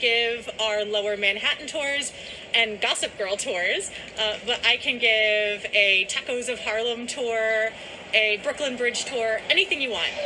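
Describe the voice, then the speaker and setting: Through noticeable background noise, a woman speaks in an enthusiastic tone at a fairly high pitch. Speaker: tour guide. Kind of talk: on-location tour-guide history narration mixed with news interview. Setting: outdoors at a historic site. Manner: enthusiastic, storytelling guide cadence; earnest, articulate, polished actress delivery.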